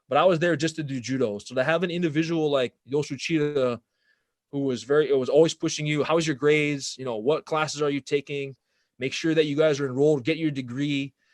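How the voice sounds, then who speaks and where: Against a quiet background, a man talks at a very fast pace with a fairly high pitch and fairly even intonation, the sound dry and close with no echo. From Hawaii, Oahu. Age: 30s. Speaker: former judo competitor and martial arts gear business owner. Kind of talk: podcast interview.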